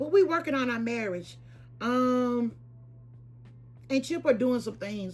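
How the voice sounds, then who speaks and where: With music in the background, a woman speaks with very wide pitch swings. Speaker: lifestyle and shopping vlogger. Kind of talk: casual vlog talk to camera. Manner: hesitant, many fillers and repeats.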